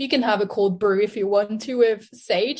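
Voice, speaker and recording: In a French accent, a woman speaks at a fairly slow pace. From France. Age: 20s. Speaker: nutritionist. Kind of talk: interview.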